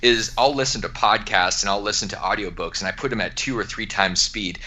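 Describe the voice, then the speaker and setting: Noticeable background noise sits behind a man's voice. He talks at a very fast pace in an animated tone. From Alaska. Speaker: entrepreneur and author. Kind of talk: podcast interview.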